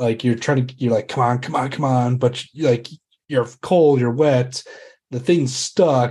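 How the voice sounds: Someone reads in a natural reading voice against a quiet background.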